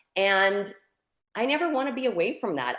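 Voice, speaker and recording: A woman's medium-pitched voice in a Canadian prairie accent, with lively intonation and a quiet background. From Saskatchewan, Canada. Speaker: convention keynote speaker. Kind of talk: interview.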